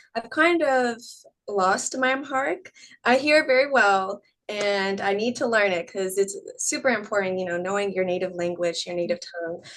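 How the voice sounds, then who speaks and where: A woman's plain, everyday voice in a General American accent, medium in pitch, with lively intonation at a moderate pace. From US, Northern Virginia near DC. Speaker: scientist and skincare entrepreneur. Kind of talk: interview conversation.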